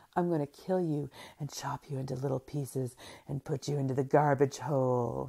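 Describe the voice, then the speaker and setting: This is a put-on character voice at a low-to-middle pitch. It runs at a fairly quick pace. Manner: menacing, mocking.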